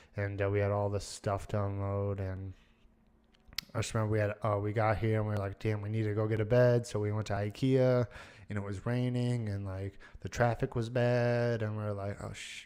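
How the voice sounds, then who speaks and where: A man with an American accent talks at a moderate pace in a fairly low pitch, his tone dark and mellow and his intonation flat and monotone. The recording is very clean, with a silent background. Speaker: podcaster. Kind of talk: casual monologue.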